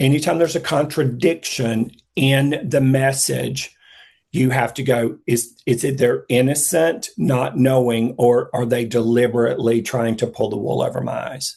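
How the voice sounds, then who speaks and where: A man speaks at a moderate pace with a medium pitch and ordinary pitch variation. Vocal fry runs through his voice. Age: 60s. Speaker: psychic intuitive speaker. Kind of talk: casual chat.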